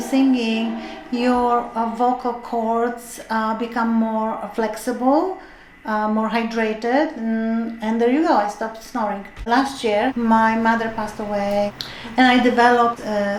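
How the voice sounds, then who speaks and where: Here a woman talks at a fairly slow pace, her pitch fairly high and her intonation fairly even. Audible room echo and noticeable background noise come through. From Europe. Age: 60s. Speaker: retired chemist, choir member. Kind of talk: documentary interview. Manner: hesitant, many fillers.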